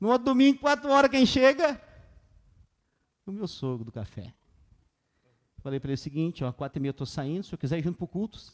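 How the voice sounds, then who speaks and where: In a dry, close recording with no echo, a man with a high pitch talks at a fairly quick pace, breaking it with long, frequent pauses, his pitch swinging very widely and his loudness shifting greatly. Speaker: pastor. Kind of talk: sermon. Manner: fast.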